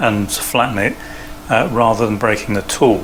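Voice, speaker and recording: There is noticeable background noise. Through it, a man is talking. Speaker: CNC hobbyist and maker. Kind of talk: tutorial. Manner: hesitant, many fillers.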